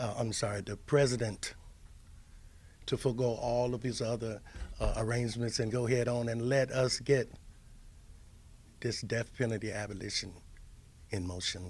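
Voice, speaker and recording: With an American accent, a man speaks at a medium pitch and a moderate pace, his intonation fairly even. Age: 60s. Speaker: death row exoneree and advocacy chairman. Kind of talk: press conference speech. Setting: press conference with audience.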